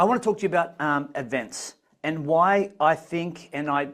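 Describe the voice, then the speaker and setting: A man speaks in an unremarkable speaking voice at a moderate pace, with ordinary pitch variation. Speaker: business coach for consultants. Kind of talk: webinar presentation.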